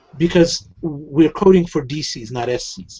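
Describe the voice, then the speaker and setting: A fairly high male voice with lively intonation. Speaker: heraldry teacher. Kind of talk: online lecture. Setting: online class.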